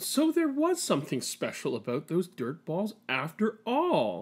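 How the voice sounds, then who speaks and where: A put-on character voice speaks at a fairly high pitch and a fairly slow pace. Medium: read story. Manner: warm, gentle.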